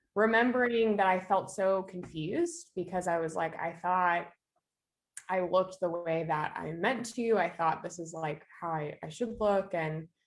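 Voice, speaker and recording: A woman's normal speaking voice at medium pitch, ordinary pitch variation, and fairly slow pace. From eastern Canada. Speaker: minister and former social worker. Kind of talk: podcast interview, personal testimony.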